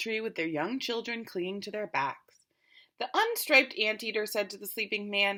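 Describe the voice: Against a quiet background, this is plain reading aloud with fairly even intonation.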